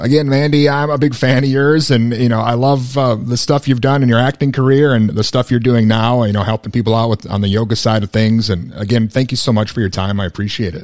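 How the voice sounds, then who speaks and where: A man with an American accent talks at a very fast pace and a medium pitch. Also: ordinary pitch variation, hardly any pauses. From Minnesota. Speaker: radio host. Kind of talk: radio DJ patter, a mock-serious show intro, then friendly interview questions. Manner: bantering, jokey.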